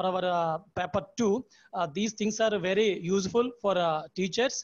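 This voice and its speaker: Speaking with a Telugu accent, a man uses a high pitch with ordinary pitch variation at a fairly slow pace. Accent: Telugu-accented Indian English. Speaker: teacher concluding the session. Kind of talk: formal concluding remarks. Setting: video call. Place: home room. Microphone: earbuds.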